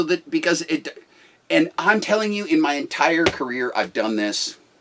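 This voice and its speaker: A man is speaking. His pace is fairly slow. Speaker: business owner and former pastor. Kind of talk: casual talk. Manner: forceful, aggressive; halting, many restarts.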